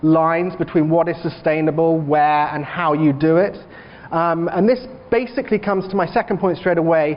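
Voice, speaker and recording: Noticeable background noise fills the recording. Through it comes a man's high-pitched voice. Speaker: bank research analyst, keynote speaker. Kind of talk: conference presentation.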